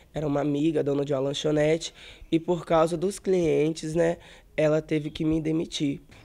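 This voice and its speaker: A man's fairly high-pitched voice, dark and mellow in tone, with a monotone, flat intonation. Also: moderate pace. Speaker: person living with HIV; interviewee. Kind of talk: interview testimony. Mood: somber, reflective. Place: home room. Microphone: handheld.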